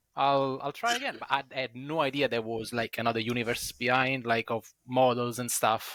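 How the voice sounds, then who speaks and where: A man with an Italian accent speaks at a medium pitch and moderate pace in a bright, sharp, monotone, flat delivery. The recording is very clean with a silent background and a dry, close sound with no echo. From Italy. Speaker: wargaming club member, podcast panelist. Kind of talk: casual chat.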